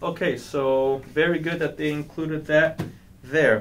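Fairly even intonation from a male speaker. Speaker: product reviewer. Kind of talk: unboxing tutorial. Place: office. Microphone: camera far.

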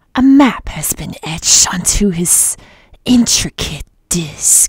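This is a put-on character voice. It sounds female, with medium pitch for a woman. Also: fairly slow pace.

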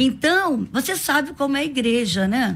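Faint music plays in the background as a woman speaks in a high pitch. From Brazil, Rio de Janeiro (from age 4). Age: 60s. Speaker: pastor and women's leader; pastor. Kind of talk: radio interview. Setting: radio studio. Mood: earnest, emotional storytelling. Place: studio. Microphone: studio mic.

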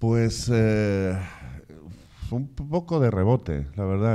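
Over a quiet background, a man speaks in a dark, mellow tone with ordinary pitch variation. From Castilla-La Mancha, Spain. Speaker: film director and course coordinator. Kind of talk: information session interview. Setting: in front of camera with live and online audience. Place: studio. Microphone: handheld.

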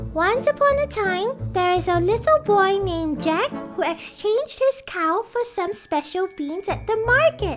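A cartoonish character voice speaks at an extremely high pitch and a moderate pace with hardly any pauses. Clear music plays in the background. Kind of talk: children's educational show. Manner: bright, enthusiastic.

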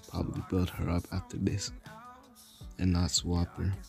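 A man speaks at a fairly slow pace with fairly even intonation and a very deep, low pitch. Music plays in the background. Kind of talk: casual game guide voiceover. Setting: no microphone, low audio quality. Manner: low-energy, a bit awkward.

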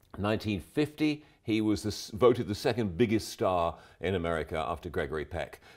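A man talks at a moderate pace in a fairly low pitch. The background is quiet. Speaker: guest. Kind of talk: commentary. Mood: relaxed, enthusiastic. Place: studio.

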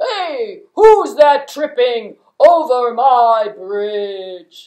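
Using a cartoonish character voice, a woman speaks at a very slow pace and a high pitch with very wide pitch swings. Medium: puppet.

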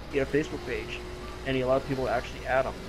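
Noticeable background noise sits under the recording. A man talks at a very fast pace. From Newfoundland, Canada. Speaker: gamer. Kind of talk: casual chat. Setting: online voice chat.

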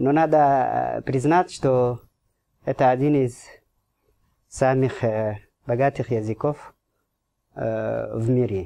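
With long, frequent pauses, the speaker moves at a very slow pace in a non-native accent. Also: man. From Djibouti. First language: not Russian (speaking Russian). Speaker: ambassador; guest. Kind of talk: radio interview. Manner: halting. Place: studio. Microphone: studio mic.

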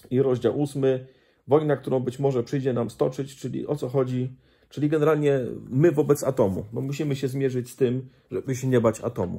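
Against a quiet background, a man speaks fairly quickly with a dark, mellow, somewhat breathy tone and fairly even intonation. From Poland. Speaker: Baptist pastor and missionary; Baptist preacher recommending a book. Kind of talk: casual book review monologue. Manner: halting, with frequent repetitions and fillers. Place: home room. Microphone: phone near.

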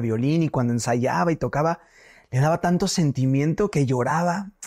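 Against a quiet background, a man talks at a fairly high pitch with lively intonation. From Mexico, Morelia, Michoacán; Michoacán, Mexico. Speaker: singer-songwriter; guest. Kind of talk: casual interview. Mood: cheerful, animated storytelling. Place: home room. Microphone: lapel.

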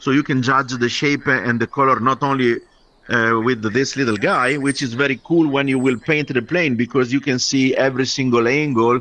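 With an Italian accent, a man speaks at a medium pitch and moderate pace in a bright, sharp tone, his loudness very even and intonation fairly even, in a dry sound with no echo. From Italy. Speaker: aircraft paint designer. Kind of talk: casual chat; video call conversation. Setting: video call. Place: home room. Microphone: video call.

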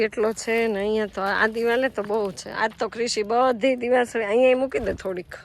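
Her intonation is monotone and flat. The woman's pitch sits fairly high. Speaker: vlogger. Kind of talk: casual vlog narration. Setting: at home and outdoors in yard.

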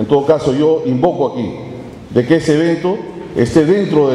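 A man speaks at a fairly quick pace with a fairly high pitch and lively intonation, against clear background noise.

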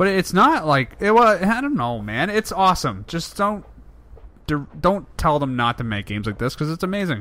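A man's voice sits at a fairly high pitch with a bright, sharp tone. His pitch swings very widely. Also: moderate pace. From England. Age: 20s. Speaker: gaming YouTuber. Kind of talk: let's play commentary.

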